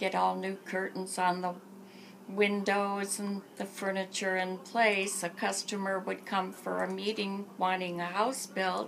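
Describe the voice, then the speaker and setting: Over noticeable background noise, a woman with an American accent speaks at medium pitch with monotone, flat intonation. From Michigan, Port Huron area. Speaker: interviewee recounting her life. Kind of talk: oral history interview.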